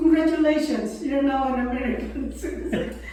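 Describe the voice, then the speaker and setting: Audible room echo and noticeable background noise surround a woman's voice. She speaks at a fairly slow pace with fairly even intonation. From Philippines. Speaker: veteran's wife. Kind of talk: interview.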